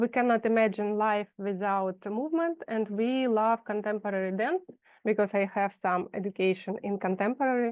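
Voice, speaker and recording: Her pitch fairly high, a woman with a Russian accent speaks at a moderate pace with very even loudness and ordinary pitch variation. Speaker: fashion designer. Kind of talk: presentation read aloud. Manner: halting.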